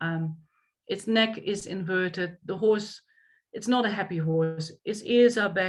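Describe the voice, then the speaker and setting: In a Dutch accent, a woman speaks at a fairly slow pace with fairly even intonation and a medium pitch. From Netherlands. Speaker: equestrian coach. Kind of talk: lecture.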